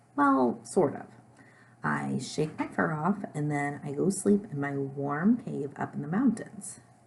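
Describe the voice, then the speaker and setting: In a put-on character voice, a woman speaks raspy and very deep, with a low pitch, at a fairly slow pace. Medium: read story. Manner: sad, self-conscious.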